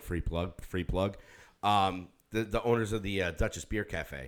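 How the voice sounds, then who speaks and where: A man speaks in an ordinary speaking voice at a moderate pace, his pitch fairly low. The recording is very clean, with a silent background. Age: 50s. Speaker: podcast co-host and musician. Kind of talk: casual chat. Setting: studio.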